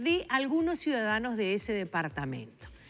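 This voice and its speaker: A woman speaks at a moderate pace in a fairly high pitch, with faint music in the background. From Uruguay. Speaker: TV host. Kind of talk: TV interview. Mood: warm, pleased. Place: studio.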